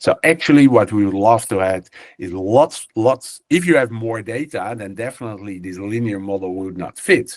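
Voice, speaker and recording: Against a quiet background, a man talks at a moderate pace in a fairly low pitch with ordinary pitch variation. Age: 60s. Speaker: professor. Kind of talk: webinar lecture. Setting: video webinar from an office. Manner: halting, many fillers.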